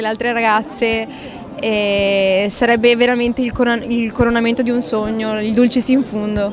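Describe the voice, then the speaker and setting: A woman's fairly high voice moves at a moderate pace, her intonation fairly even, with noticeable background noise present. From Veneto, Mestre (Venice area). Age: 20s. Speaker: pageant contestant. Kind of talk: street interview.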